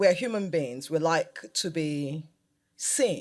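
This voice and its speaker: With a Nigerian accent, a woman talks at a very slow pace on a very clean recording with a silent background. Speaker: fashion designer. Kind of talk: live panel interview. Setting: stage with audience.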